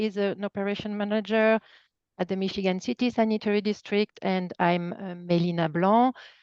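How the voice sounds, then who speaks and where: Moderate pace in a slight French accent, fairly even intonation, and a dry, close sound with no echo against a quiet background. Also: woman. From France. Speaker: nonprofit environmental project staff. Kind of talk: webinar presentation.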